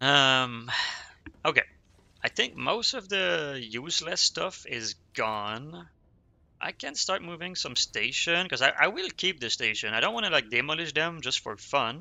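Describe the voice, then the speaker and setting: With a Quebec accent, a man talks at a fairly slow pace in a fairly high voice that makes very wide pitch swings. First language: French. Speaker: streamer. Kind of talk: casual gaming livestream chat. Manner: halting, self-correcting.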